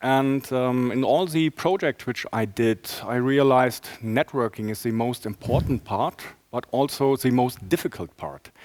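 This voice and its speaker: Speaking with a German accent, a man at a medium pitch talks at a fairly slow pace with hardly any pauses and ordinary pitch variation, in a dry, close sound with no echo. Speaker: enterprise architect presenting a talk. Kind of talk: conference talk. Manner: halting, many fillers.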